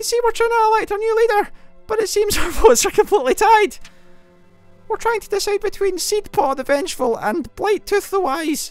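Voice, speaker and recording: A man puts on a squeaky character voice at an extremely high pitch. He moves at a fairly quick pace while faint music plays in the background. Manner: pleading.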